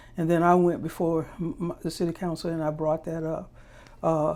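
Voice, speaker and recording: Woman with an American accent, dark and mellow in tone, flat and monotone in intonation, on a very clean recording with a silent background. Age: 70s. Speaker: political candidate. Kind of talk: interview. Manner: halting.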